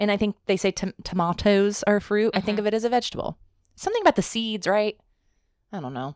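This woman talks at a very fast pace with ordinary pitch variation, her voice dry and close with no echo. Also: medium pitch for a woman. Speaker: podcast co-host. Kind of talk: casual chat.

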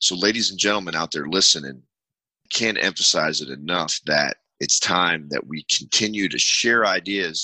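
Captured dry and close with no echo, a man with a very deep, low pitch and a bright, sharp tone speaks at a moderate pace with ordinary pitch variation. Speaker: podcast host and army veteran. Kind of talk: advocacy talk show. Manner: emphatic.

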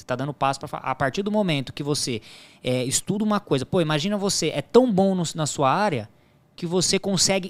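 A man with an ordinary speaking voice, fairly high-pitched, talks at a fairly quick pace with lively intonation in a very clean recording over a silent background. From Brazil, São Paulo (Diadema) then Paraná. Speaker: sports betting tipster. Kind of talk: podcast interview.

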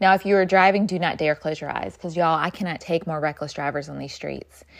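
A woman's animated tone with fairly low pitch, vocal fry, and ordinary pitch variation, on a very clean recording with a silent background. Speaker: podcast host and workplace culture consultant. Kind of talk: dramatic narration of a guided visualization, urgent and vivid.

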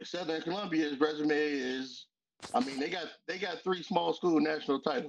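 A normal speaking voice from a man with an American accent, fairly high in pitch, at a moderate pace with ordinary pitch variation. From Western Pennsylvania, Aliquippa. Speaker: sports fan. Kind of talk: casual chat. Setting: at home in kitchen.

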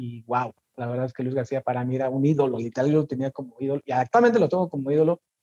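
Very fast in pace, a man speaks at a medium pitch with a dark, mellow tone in a dry, close sound with no echo. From Mexico City. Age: 30s. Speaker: football content creator. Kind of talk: casual interview.

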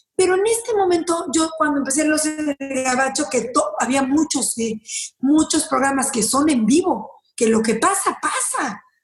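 Speaking fairly slowly in a Mexican accent, a woman uses a high pitch, an animated tone and lively intonation, keeping her loudness very even. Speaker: lawyer and social media personality. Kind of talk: interview.

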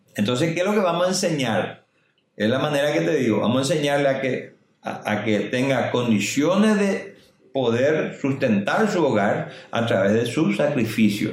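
A man at medium pitch with very wide pitch swings, very even loudness, a moderate pace and audible room echo. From Paraguay, Itacurubí del Rosario; raised in Salto del Guairá. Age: 50s. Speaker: mayoral candidate. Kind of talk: interview.

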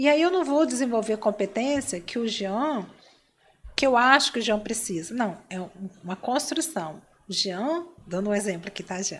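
The speaker keeps a moderate pace, with long, frequent pauses and very wide pitch swings. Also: woman, fairly high pitch for a woman. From Espírito Santo, Brazil (Cachoeiro de Itapemirim). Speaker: business coach and entrepreneur. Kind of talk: interview. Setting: live stream.

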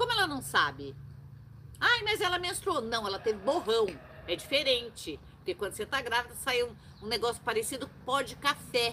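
Noticeable background noise surrounds a woman speaking in an animated tone. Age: 60s. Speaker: witch and show host. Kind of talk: casual chat.

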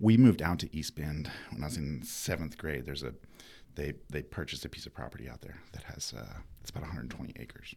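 With an American accent, a man talks very fast in a very deep, low voice with vocal fry and lively intonation. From North Carolina. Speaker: former game show champion and alumnus. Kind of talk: interview.

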